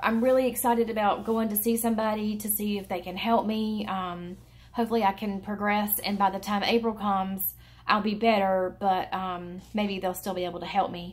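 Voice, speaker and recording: Somewhat breathy, a woman speaks at a medium pitch. Her intonation is monotone and flat, her pace moderate. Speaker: vlogger, thyroid cancer patient. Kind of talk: casual vlog update. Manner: hesitant, many fillers.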